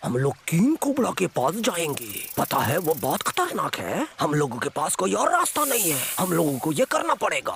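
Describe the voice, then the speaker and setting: A man puts on a cartoonish character voice at a high pitch, speaking at a moderate pace. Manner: warm, supportive.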